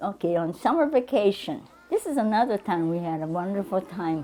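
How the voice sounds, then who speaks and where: With crowd noise in the background, a woman with an American accent speaks fairly slowly at medium pitch with lively intonation. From Troutdale, Oregon. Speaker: former internment camp internee. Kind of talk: interview answer. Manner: expressive, animated.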